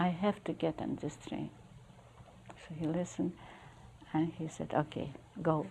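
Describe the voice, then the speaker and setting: Deep and low in pitch, a woman speaks in a dark, mellow tone with vocal fry and ordinary pitch variation. Her speech has long, frequent pauses. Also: moderate pace. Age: 80s+. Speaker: Holocaust survivor. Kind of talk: interview answer. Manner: pensive, vivid storyteller.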